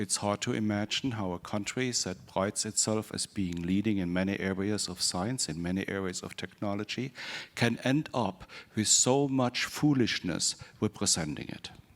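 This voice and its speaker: With a German accent, a man speaks at a moderate pace, his fairly low voice showing ordinary pitch variation. The recording is very clean, with a silent background. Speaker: psychology professor. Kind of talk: panel discussion.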